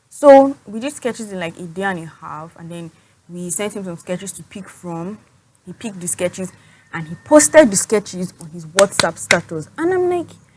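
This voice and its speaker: Somewhat breathy and medium in pitch, a woman speaks at a moderate pace with lively intonation and big swings in loudness. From Nigeria. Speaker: student entrepreneur and vlogger. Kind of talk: storytime vlog. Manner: casual, filler-heavy.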